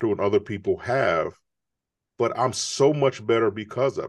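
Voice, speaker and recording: Against a quiet background, a man with an American accent talks fairly slowly in an ordinary speaking voice with fairly even intonation. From Chicago. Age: 50s. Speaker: author and entrepreneur. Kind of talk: interview.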